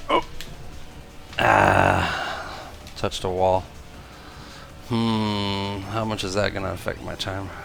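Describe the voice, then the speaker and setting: Quiet and fairly low-pitched, a man speaks at a very slow pace with fairly even intonation and long, frequent pauses while music plays in the background. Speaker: gaming youtuber. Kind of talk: gameplay commentary. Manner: quiet while concentrating.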